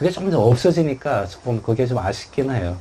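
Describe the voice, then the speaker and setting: Speaking with a Gyeongsang accent at a fairly quick pace, a man with a medium pitch makes very wide pitch swings over noticeable background noise. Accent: Gyeongsang dialect Korean. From South Korea, Busan (Gyeongsang). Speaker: author and international labour official. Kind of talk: book talk Q&A. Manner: conversational with many fillers.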